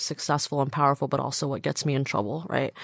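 A woman speaks with an American accent in a very deep, low pitch. The recording is very clean with a silent background and a dry, close sound with no echo. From US West Coast, Southern California. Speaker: travel company founder and food writer. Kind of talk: interview.

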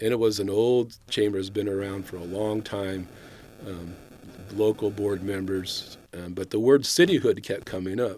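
On a very clean recording with a silent background, a man with an American accent uses a normal speaking voice, fairly low in pitch, with fairly even intonation at a moderate pace. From Northern California, Sacramento area. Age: 60s. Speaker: retired city official. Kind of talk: interview.

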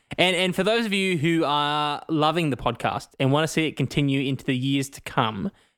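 In a very clean recording with a silent background, a man with a fairly high pitch talks at a moderate pace in an unremarkable speaking voice with ordinary pitch variation. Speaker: podcast co-host. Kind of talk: casual chat.

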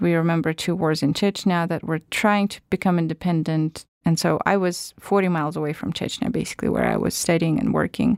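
A woman in a Russian accent talks at a fairly quick pace and a fairly low pitch with ordinary pitch variation, recorded with a dry, close sound and no echo. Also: hardly any pauses. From Russia, northern Siberia. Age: 30s. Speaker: podcast producer and journalism lecturer. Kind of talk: interview.

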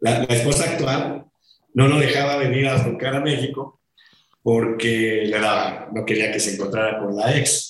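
A man speaks at a fairly slow pace with fairly even intonation. His voice is somewhat breathy. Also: medium pitch for a man. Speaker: rock drummer. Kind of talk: interview.

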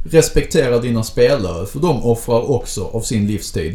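Behind a man's medium-pitched voice, noticeable background noise is present. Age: 30s. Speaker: podcast co-host and game master. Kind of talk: casual chat.

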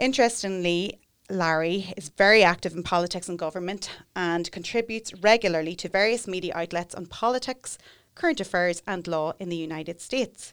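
In a very clean recording with a silent background, a woman with a plain, everyday voice and medium pitch shows big swings in loudness. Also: ordinary pitch variation, fairly quick pace. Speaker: podcast host and solicitor. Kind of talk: interview, conversational. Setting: studio.

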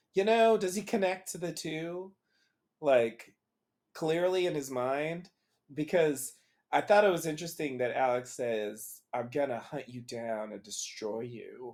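A man's ordinary speaking voice, fairly high in pitch, with lively intonation at a fairly slow pace. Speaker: podcast co-host discussing a TV show. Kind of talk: casual chat. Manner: rambling, many fillers.

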